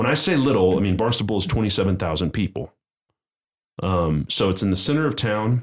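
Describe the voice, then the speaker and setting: With lively intonation and very even loudness, a man talks at a fairly low pitch. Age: 40s. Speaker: missionary ministry leader. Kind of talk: testimony. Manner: halting.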